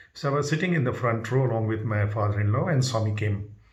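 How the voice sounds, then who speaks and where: A man with a somewhat breathy voice is heard with audible room echo. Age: 70s. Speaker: spiritual devotee sharing experiences. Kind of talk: personal testimony. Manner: halting.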